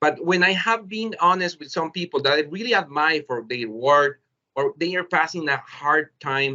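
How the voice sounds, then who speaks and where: With ordinary pitch variation, a man's fairly high voice proceeds at a moderate pace. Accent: Spanish. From El Salvador. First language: Spanish. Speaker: teacher. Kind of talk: webinar presentation. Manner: halting.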